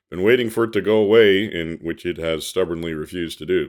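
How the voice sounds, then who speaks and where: Here a man talks at a fairly quick pace, his pitch varying in an ordinary way. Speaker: history podcaster. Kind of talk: documentary podcast narration. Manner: casual with filler words.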